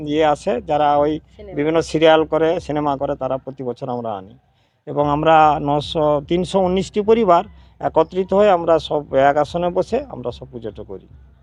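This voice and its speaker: A man uses a plain, everyday voice at fairly high pitch with lively intonation. His loudness swings widely. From West Bengal, Purba Medinipur (Moyna). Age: 60s. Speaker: village elder and temple committee member. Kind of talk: interview.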